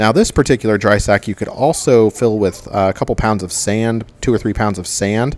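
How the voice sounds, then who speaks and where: Using a plain, everyday voice, a man with a fairly low pitch talks at a fairly quick pace with hardly any pauses and fairly even intonation. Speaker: DIY outdoor gear youtuber. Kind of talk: product tutorial. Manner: casual with many fillers.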